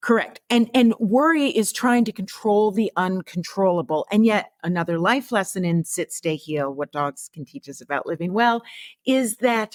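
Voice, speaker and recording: A woman with an ordinary speaking voice, medium in pitch, at a fairly slow pace, with lively intonation and a dry, close sound with no echo on a very clean recording with a silent background. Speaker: veterinary oncologist and author. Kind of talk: podcast interview.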